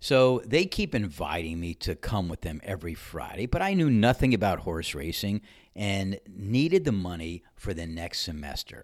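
A man with an unremarkable speaking voice talks at a moderate pace in a fairly low pitch with lively intonation, in a very clean recording with a silent background. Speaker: podcast host and ranter. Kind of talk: opinionated monologue rant, with a story-telling segment. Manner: opinionated, sarcastic.

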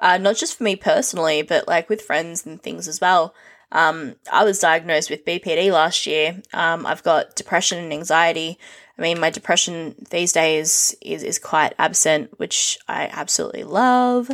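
In a very clean recording with a silent background, a woman speaks at a moderate pace with a fairly low pitch and ordinary pitch variation. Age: 30s. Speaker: streamer and podcaster. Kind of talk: casual monologue. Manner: rambling, many ums and ahs.

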